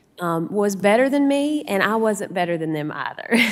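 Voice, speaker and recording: A woman with a Southern West Virginia accent speaks at a moderate pace. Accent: Southern West Virginia accent, noticeable. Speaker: supreme court justice. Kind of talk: Q&A answer to students.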